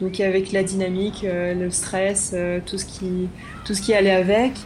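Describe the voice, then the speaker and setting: The voice belongs to a woman. It rests at a medium pitch. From Brittany, France. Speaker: cycle traveller. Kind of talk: interview testimony.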